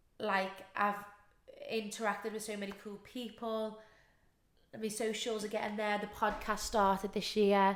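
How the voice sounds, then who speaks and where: In a room with audible echo, a woman speaks with monotone, flat intonation and long, frequent pauses. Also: moderate pace. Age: 20s. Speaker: podcast host and dance teacher. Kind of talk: casual chat.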